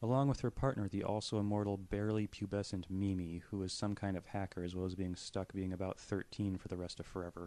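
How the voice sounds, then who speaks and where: Speaking at a very fast pace, a man uses a fairly low voice. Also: quiet background. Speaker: anime reviewer. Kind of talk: scripted review narration. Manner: monotone.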